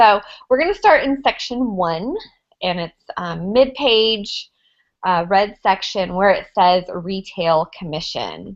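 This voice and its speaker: A woman with an American accent speaks at a very slow pace, her pitch sitting in the medium range. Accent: redneck accent, Southern US. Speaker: network marketing ambassador. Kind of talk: training presentation.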